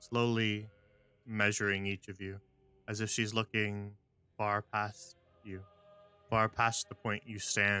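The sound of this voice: An unforced reading voice is what comes through.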